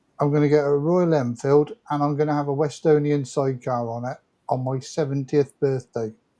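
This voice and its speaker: A man's dark, mellow tone at a fairly high pitch. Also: fairly quick pace. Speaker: motorcycle vlogger. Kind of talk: casual chat. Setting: livestream.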